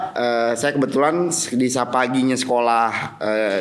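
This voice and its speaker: With a Jakarta accent, a man at a medium pitch speaks at a fairly slow pace with ordinary pitch variation, amid audible room echo and noticeable background noise. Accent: Betawi. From Jakarta (South Jakarta, Betawi area). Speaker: business association official and company commissioner. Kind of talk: podcast interview. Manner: hesitant, many fillers.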